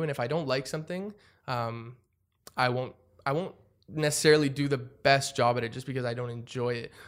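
A man with a Canadian accent speaks at a fairly quick pace in a fairly high pitch. He has a plain, everyday voice with ordinary pitch variation. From Canada, Ottawa. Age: 20s. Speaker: young entrepreneur. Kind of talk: interview. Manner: casual, many fillers.

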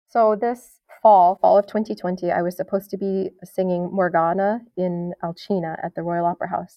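At a moderate pace, a woman with an unremarkable speaking voice of medium pitch speaks with fairly even intonation. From New York State. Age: 30s. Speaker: opera singer. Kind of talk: interview.

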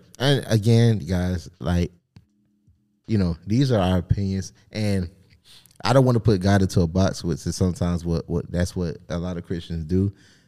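A man's very deep, low voice at a moderate pace with ordinary pitch variation, over music in the background. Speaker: podcast co-host. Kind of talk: casual banter podcast chat.

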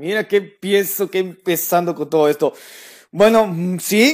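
Pitch varies in an ordinary way at a fairly slow pace on a very clean recording with a silent background. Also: man. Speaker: podcast host. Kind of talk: casual chat.

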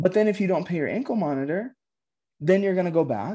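In a very clean recording with a silent background, a man with an American accent speaks at a very fast pace, his high voice dark and mellow in tone, with lively intonation. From Colorado, Aurora. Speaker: youth worker and chaplain. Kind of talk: interview conversation.

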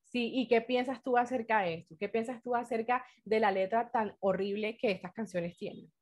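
In an ordinary speaking voice, a woman with fairly high pitch speaks at a moderate pace with fairly even intonation and hardly any pauses. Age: 20s. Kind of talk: casual faith-based talk with teen girls.

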